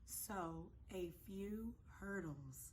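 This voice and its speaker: Animated and somewhat breathy, a woman speaks at a fairly low pitch with audible room echo. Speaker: small business owner vlogger. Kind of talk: casual vlog update.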